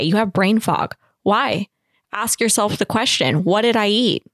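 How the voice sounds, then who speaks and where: Recorded dry and close with no echo on a very clean track with a silent background, a woman at a medium pitch speaks at a fairly slow pace in a plain, everyday voice. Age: 20s. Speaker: small bakery business owner. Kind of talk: casual chat.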